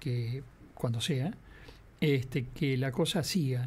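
The man's voice comes out somewhat breathy. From Uruguay. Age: 70s. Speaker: veteran radio and TV broadcaster; interview guest. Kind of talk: interview. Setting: radio studio. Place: studio. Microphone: studio mic.

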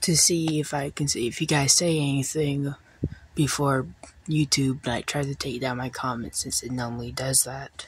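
Quiet and somewhat breathy, a woman's very deep, low voice moves at a moderate pace with fairly even intonation. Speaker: small YouTuber. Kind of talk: casual vlog talk to camera. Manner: quiet, keeping voice down; halting, many fillers.

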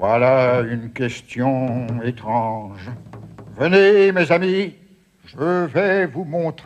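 Using a put-on character voice, a man speaks very slowly at a medium pitch. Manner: mysterious, welcoming.

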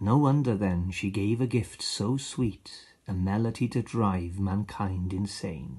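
Somewhat breathy speech comes with a Welsh accent and a dark, mellow tone. Pitch variation is ordinary, and the background is quiet. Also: man, fairly low pitch for a man. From Wales, Aberaeron area. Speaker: poet and actor. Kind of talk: poetry reading. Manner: expressive.

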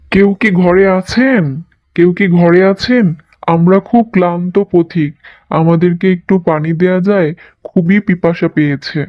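In a cartoonish character voice at middle pitch, the speaker talks at a fairly slow pace. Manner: respectful, dutiful.

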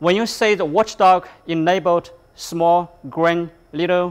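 A man with a high pitch. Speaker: instructor. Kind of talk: tutorial. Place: workshop. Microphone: lapel.

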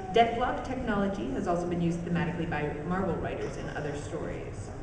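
Noticeable background noise and audible room echo surround the speech. It moves at a moderate pace. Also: woman. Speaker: fan panelist in costume. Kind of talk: reading aloud. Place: hall. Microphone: camera far.

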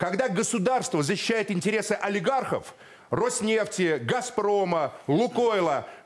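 With a quiet background, a man talks at a high pitch. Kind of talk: political debate speech. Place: studio. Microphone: lapel.

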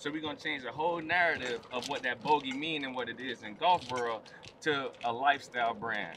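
With an American accent, a man speaks at a fairly quick pace with ordinary pitch variation amid noticeable background noise. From South Florida (Hollywood, Florida); Florida. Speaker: retired NFL player. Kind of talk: casual chat on golf course. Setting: outdoors on golf course. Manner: animated. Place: open country.

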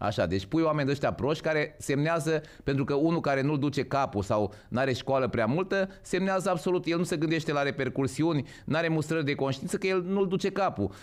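Against a quiet background, a man with a fairly high pitch speaks at a fairly quick pace, with lively intonation and very even loudness. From Romania. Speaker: podcast host. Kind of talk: casual chat. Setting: livestream. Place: studio. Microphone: studio mic.

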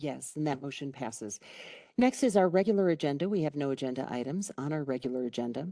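A woman with a very deep, low voice and a dark, mellow tone, fairly quick in pace, with very wide pitch swings, recorded dry and close with no echo against a quiet background. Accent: slight Chicago. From Chicago. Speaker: county commissioner chairing meeting. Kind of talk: public meeting chairing. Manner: formal.

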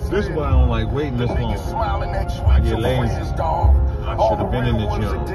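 A man speaks at a moderate pace over loud music in the background. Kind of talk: casual vlog chat. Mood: relaxed, candid. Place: car. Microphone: phone near.

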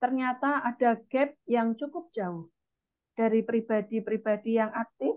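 Against a quiet background, a woman speaks fairly slowly with lively intonation. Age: 30s. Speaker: event moderator. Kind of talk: formal moderation. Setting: video call. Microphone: earbuds.

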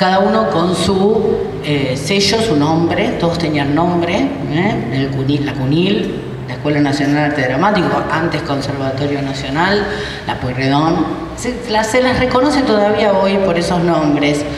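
A woman speaks with lively intonation. Audible room echo and noticeable background noise surround her. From Argentina, Buenos Aires area. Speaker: university rector. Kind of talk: conference talk. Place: hall. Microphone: handheld.

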